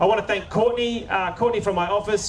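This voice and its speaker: A man with an Australian accent talks at a very fast pace. Noticeable background noise and audible room echo fill the recording. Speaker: local councillor and event host. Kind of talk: public event hosting and interview. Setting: outdoor stage with audience in a park.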